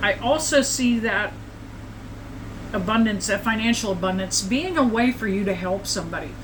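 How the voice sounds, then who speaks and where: Amid audible room echo and noticeable background noise, a woman speaks at a medium pitch with ordinary pitch variation. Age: 70s. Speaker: psychic tarot reader. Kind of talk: tarot reading livestream. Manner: casual, conversational.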